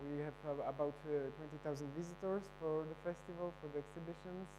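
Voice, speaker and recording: A man with a Polish accent speaks fairly quickly, in a flat monotone. His pitch is fairly high, and the room echo is audible. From Poland. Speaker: photo festival director. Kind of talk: conference presentation. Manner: halting.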